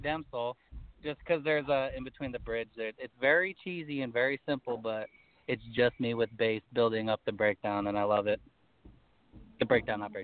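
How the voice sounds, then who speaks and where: At a moderate pace, a man talks at a medium pitch with ordinary pitch variation in a normal speaking voice. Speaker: band member. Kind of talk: casual interview. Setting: backstage at a venue, remote call.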